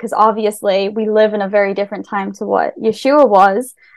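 In a very clean recording with a silent background, a woman with an American accent speaks at a fairly high pitch in a monotone, flat intonation. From Wales, then US from age 7. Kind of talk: casual conversation.

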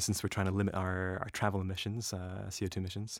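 A man with an American accent talks at a very fast pace and fairly low pitch. The recording is very clean, with a silent background. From Northern California and northeast Scotland. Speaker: renewable energy researcher and rower. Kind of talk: casual interview conversation. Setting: studio.

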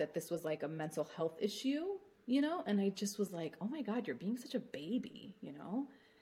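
Her pace is fairly quick and her voice somewhat breathy. The woman's intonation is lively. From Palestinian family. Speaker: author. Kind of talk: interview.

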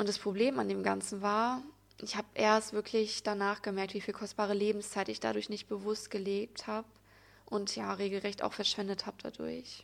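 Medium-pitched and speaking at a moderate pace, this is a woman. Her intonation is monotone and flat. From Germany, Sauerland (Altena). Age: 20s. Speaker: podcaster, spiritual and yoga coach. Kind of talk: personal monologue podcast.

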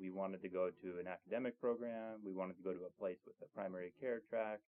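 Man with an American accent and a fairly low pitch. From US Pacific Northwest. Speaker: chief resident physician. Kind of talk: casual interview.

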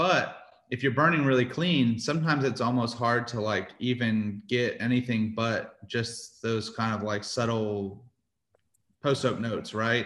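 At a fairly slow pace, the speaker uses an ordinary speaking voice with ordinary pitch variation. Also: man, medium pitch for a man. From Houston, Texas. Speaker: barbecue restaurant owner. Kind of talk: casual interview.

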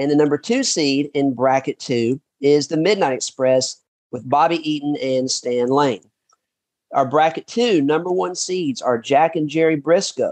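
A man with a Southern US accent speaks at a fairly slow pace and a fairly high pitch, using ordinary pitch variation. The sound is dry and close with no echo. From Kentucky (Paducah). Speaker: podcast host. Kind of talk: interview and casual chat.

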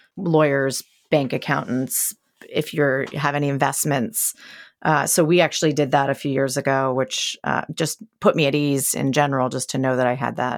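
With a very deep, low pitch, a woman speaks at a moderate pace and with fairly even intonation in a very clean recording with a silent background. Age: 40s. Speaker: podcast host and entrepreneur. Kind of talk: casual interview chat; scripted intro.

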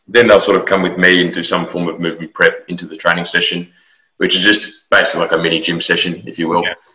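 A man with an Australian accent speaks at a very fast pace, his loudness swinging widely. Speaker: football strength and conditioning coach. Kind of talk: interview. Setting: call.

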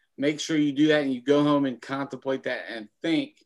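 The recording is very clean, with a silent background. A man with a Kentucky accent speaks in a monotone, flat intonation. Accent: Kentucky Southern US. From Kentucky, Lexington. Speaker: former teacher and school principal, small business owner. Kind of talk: casual interview.

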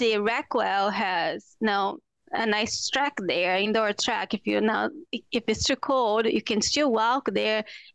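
Quiet in the background and dry and close with no echo, the recording features a woman with a fairly high pitch and vocal fry, speaking at a very slow pace with ordinary pitch variation. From Brazil. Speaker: psychotherapist. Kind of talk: interview excerpts.

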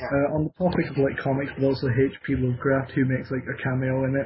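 This man speaks with an English accent in a fairly high pitch, his intonation monotone and flat. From Scotland. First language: Scottish Gaelic. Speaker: podcast co-host. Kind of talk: casual chat.

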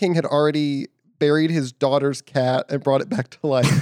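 At a moderate pace, a man with a fairly high pitch and an unremarkable speaking voice is heard in a dry, close sound with no echo. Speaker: podcast host. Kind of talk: casual chat.

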